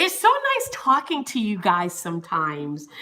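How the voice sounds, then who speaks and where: A woman with an American accent speaks at a moderate pace in a raised, projected voice with an animated tone. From Florida, US South. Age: 30s. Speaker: YouTuber, former news reporter. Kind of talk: live stream chat with viewers. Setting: home, on camera. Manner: animated, scattered.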